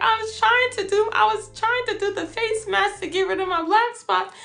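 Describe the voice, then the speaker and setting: A woman's put-on character voice, squeaky and extremely high-pitched, with fairly even intonation at a moderate pace. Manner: meek, innocent.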